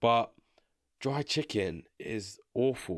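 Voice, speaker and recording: A man with a medium-pitched voice speaks in an animated tone on a very clean recording with a silent background. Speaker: YouTuber reacting to opinions. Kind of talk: casual reaction commentary. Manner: fast.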